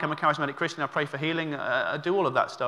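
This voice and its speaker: A man speaks at a very fast pace with a high pitch and ordinary pitch variation. His tone is bright and sharp. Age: 30s. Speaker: visiting preacher. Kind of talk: sermon. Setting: church service. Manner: halting, filler-heavy.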